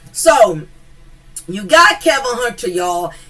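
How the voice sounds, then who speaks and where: A woman with an American accent talks at a fairly slow pace, her pitch fairly high. Her pitch swings very widely, and there is noticeable background noise. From US South. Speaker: commentary YouTuber. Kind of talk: casual commentary monologue. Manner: animated, with repeated fillers.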